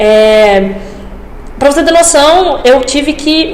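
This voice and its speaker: Noticeable background noise and audible room echo fill the clip. A woman's pitch swings very widely throughout. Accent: northeastern Brazilian. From Brazil, Rio Grande do Norte (Açu, interior). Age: 20s. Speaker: engineer turned medical student. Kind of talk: podcast interview.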